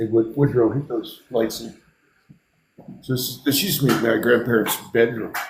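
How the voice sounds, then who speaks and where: Pausing long and often, a man speaks at a moderate pace and medium pitch, his intonation fairly even and his voice somewhat breathy. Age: 60s. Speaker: artist and builder. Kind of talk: casual chat.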